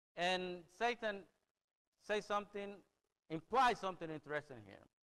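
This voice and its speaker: A man speaks in a Spanish accent at a moderate pace. His pitch is high, with ordinary variation. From El Salvador. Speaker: preacher. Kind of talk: sermon. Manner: halting.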